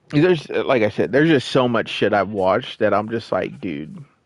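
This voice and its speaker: A man's voice with vocal fry. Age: 30s. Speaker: gaming streamer. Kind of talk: casual chat. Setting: live stream.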